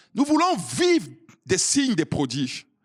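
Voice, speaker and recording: A man talks loudly at a moderate pace, his pitch swinging very widely, in a dry, close sound with no echo. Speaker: pastor. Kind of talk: sermon.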